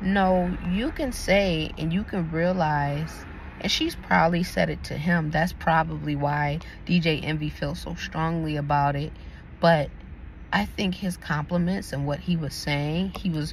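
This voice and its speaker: A soft-spoken woman with a very deep, low pitch sounds somewhat breathy, speaking at a fairly slow pace with ordinary pitch variation amid audible room echo. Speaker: YouTube commentator. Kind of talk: casual opinion commentary. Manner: soft-spoken, talking quietly.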